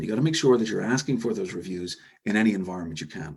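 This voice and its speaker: Talking at a very fast pace, a man's voice swings very widely in pitch. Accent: slight Irish. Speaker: e-commerce software executive. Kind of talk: webinar presentation. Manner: hesitant fillers.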